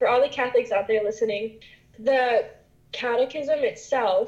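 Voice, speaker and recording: At a moderate pace, a woman with an unremarkable speaking voice talks with fairly even intonation. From West Virginia, US. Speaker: interviewee. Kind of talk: casual interview.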